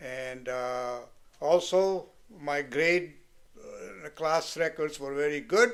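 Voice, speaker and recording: The speaker is a man. His pitch shows ordinary variation. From India, Gujarat (Kutch). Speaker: community elder. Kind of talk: interview, life story. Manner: hesitant, many fillers.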